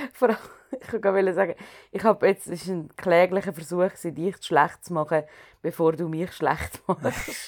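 A woman's normal speaking voice, fairly low in pitch, fairly even in intonation, at a moderate pace. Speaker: podcast co-host and performer. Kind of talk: casual chat.

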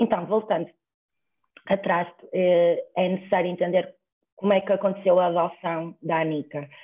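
Her voice sits at a medium pitch, and her intonation is monotone and flat. The woman leaves long, frequent pauses. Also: moderate pace, very even loudness. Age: 20s. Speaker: law student. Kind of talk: casual chat.

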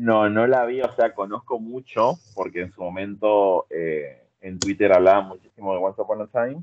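Speaking with hardly any pauses, a man with a Rioplatense accent has a fairly low pitch. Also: ordinary pitch variation, moderate pace. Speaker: social media content creator. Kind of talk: casual chat.

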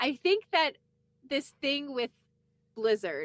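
A woman with a Canadian accent speaks fairly slowly with vocal fry and very wide pitch swings, the sound dry and close with no echo. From eastern Canada. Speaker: podcast co-host, former radio worker. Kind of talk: casual chat.

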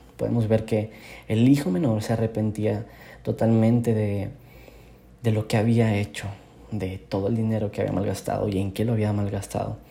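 A man at a fairly quick pace, somewhat breathy, with a dark, mellow tone. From northern Mexico, Monterrey. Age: 20s. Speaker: youth preacher. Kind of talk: devotional sermon. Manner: casual, with frequent word repetitions.

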